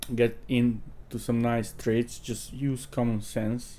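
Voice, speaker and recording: Speaking at a very slow pace, a man talks with a non-native accent. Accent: foreign accent, self-noted. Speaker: crypto trading youtuber. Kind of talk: tutorial. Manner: casual, hesitant with fillers.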